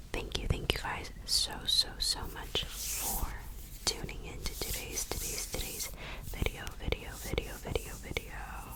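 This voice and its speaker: Someone whispers at a fairly slow pace while noticeable background noise continues. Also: woman. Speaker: ASMR creator. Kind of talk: ASMR intro to camera. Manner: whispered, repetitive triggers.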